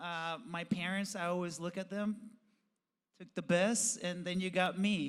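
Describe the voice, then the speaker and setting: Here a man speaks with a high pitch at a fairly slow pace. His intonation is monotone and flat. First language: Spanish. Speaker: professional BMX rider and TV host. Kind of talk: podcast interview.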